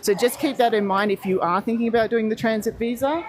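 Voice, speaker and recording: A woman talks with ordinary pitch variation. Noticeable background noise runs behind her. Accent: Australian. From Australia. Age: 40s. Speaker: travel livestreamer. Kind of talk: live stream walkthrough with chat. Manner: animated.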